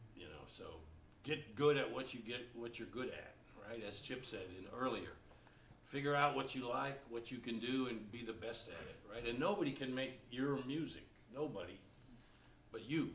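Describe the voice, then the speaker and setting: A man at a medium pitch speaks at a moderate pace, with ordinary pitch variation, long, frequent pauses and big swings in loudness. Noticeable background noise and audible room echo fill the recording. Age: 60s. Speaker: jazz baritone saxophonist and music teacher. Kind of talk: Q&A talk to students. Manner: conversational.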